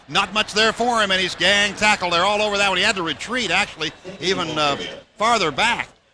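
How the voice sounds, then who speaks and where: A man's high, raised, projected voice, energetic in tone, fairly quick, with ordinary pitch variation and very even loudness, over noticeable background noise. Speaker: radio sports play-by-play announcer. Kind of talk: live radio football play-by-play. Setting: broadcast booth radio, recorded from radio. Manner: fast, energetic.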